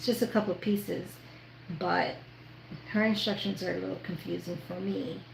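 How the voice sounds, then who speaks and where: Audible room echo surrounds a woman with an American accent who speaks at a moderate pace with long, frequent pauses. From New York. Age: 50s. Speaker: sewing youtuber. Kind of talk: live sewing tutorial with casual chat. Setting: livestream.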